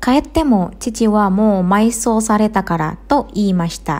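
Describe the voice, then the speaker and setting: A dark, mellow tone at a moderate pace. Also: woman. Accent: Indonesian. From Indonesia. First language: Indonesian (speaking Japanese). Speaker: Japanese language teacher. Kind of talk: podcast monologue for learners.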